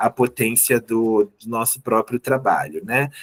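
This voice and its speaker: Here is an unremarkable speaking voice from a man, with ordinary pitch variation and a moderate pace. The sound is dry and close, with no echo. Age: 30s. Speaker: teacher. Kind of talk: online lecture.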